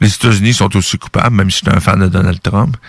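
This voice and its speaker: With a Quebec accent, a man speaks at a fairly low pitch with ordinary pitch variation. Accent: Québécois French. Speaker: radio host. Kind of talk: commentary monologue.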